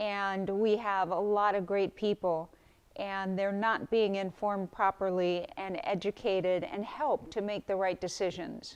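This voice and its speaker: A woman speaks at a fairly slow pace and a medium pitch against a quiet background. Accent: Californian. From California. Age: 60s. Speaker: political campaign volunteer. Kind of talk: interview testimony.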